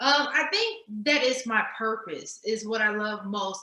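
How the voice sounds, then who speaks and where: With a Texas accent, a woman speaks at a high pitch with ordinary pitch variation. Noticeable background noise is present. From Texas, Dallas. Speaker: nonprofit strategist and grant writer. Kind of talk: interview.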